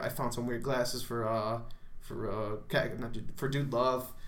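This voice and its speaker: Noticeable background noise and audible room echo surround the speaker. The intonation stays fairly even. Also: man. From Chicago area, Illinois. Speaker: freelance wrestler. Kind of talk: casual chat.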